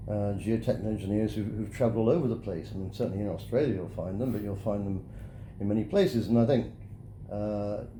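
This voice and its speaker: Very fast and somewhat breathy, a man with a British accent speaks at a fairly low pitch in a dark, mellow tone with fairly even intonation, and audible room echo surrounds him. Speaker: geosynthetics engineer. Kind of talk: interview. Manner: halting.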